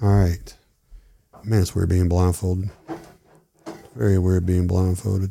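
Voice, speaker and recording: A man speaks with a very deep, low pitch and a somewhat breathy quality. His pace is fairly slow, his intonation fairly even, and his pauses long and frequent. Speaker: whiskey enthusiast. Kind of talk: casual chat with whiskey tasting.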